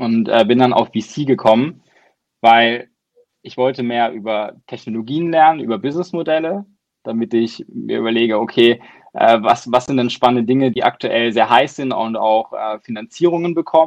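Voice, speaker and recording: A man's medium-pitched voice shows ordinary pitch variation and moves at a moderate pace. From southern Germany, near Baden-Baden. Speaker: venture capital investor. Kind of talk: interview.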